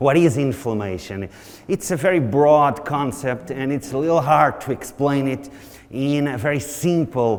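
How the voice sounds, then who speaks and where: A man speaks with a Portuguese accent. His pitch is fairly high, and audible room echo surrounds the voice. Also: ordinary pitch variation, moderate pace. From Portugal. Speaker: nutrition researcher. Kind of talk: conference lecture.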